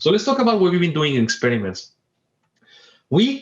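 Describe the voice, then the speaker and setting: A man speaks in a Spanish accent with a somewhat breathy sound. His pitch swings very widely. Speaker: professor. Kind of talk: lecture. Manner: fast; animated.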